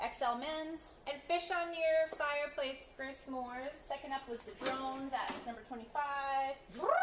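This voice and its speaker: A woman speaks at a fairly slow pace in an upbeat tone over loud background noise. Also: ordinary pitch variation. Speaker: thrift auction host for animal-rescue fundraiser. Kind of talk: casual auction item presentation. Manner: upbeat, chatty, joking with viewers. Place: shop. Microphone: camera far.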